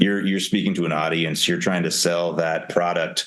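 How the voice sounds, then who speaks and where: Over noticeable background noise, a man is talking. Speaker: arena PA announcer and voiceover actor. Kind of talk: podcast interview answer. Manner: casual, conversational.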